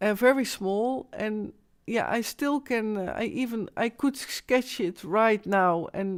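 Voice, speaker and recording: A woman with a Dutch accent speaks at a fairly slow pace and a fairly high pitch. The recording is very clean, with a silent background. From Netherlands. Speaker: live streamer. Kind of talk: live stream monologue. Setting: live stream at home. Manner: halting, searching for English words.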